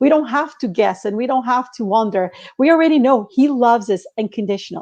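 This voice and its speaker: With a Portuguese accent, a woman talks very fast at a high pitch with ordinary pitch variation. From Portugal. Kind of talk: faith-based casual chat.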